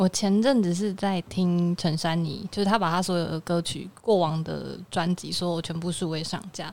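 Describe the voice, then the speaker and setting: A normal speaking voice at a moderate pace, fairly even intonation, and a very clean recording with a silent background. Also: woman, fairly low pitch for a woman, hardly any pauses. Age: 20s. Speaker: music fan guest. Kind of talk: casual chat.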